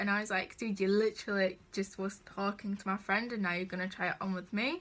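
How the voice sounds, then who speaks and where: A woman with a strong northern English accent speaks at fairly high pitch in a bright, sharp, animated tone, in a very clean recording with a silent background. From northern England. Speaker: vlogger. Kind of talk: storytime vlog. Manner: casual and animated.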